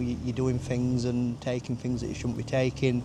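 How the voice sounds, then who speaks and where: Speaking at a fairly quick pace, a man with a Yorkshire accent talks in a medium pitch. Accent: Yorkshire (Barnsley). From northern England, Barnsley, Yorkshire. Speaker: recovery mentor and youth support worker. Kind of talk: casual interview, personal testimony. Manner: loud.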